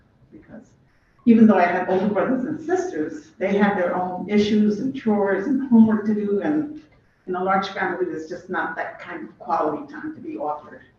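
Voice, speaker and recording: The speaker keeps a fairly quick pace despite noticeable background noise. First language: not English. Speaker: former city council member, public commenter. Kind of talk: public testimony. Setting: city committee hearing. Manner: clear.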